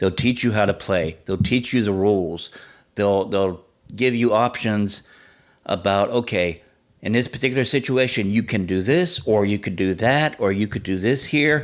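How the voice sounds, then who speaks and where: This man's voice sits at a fairly low pitch with ordinary variation. He talks at a moderate pace. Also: very clean recording, silent background. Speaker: podcast host. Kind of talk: podcast monologue. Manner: calm, laid-back; not animated.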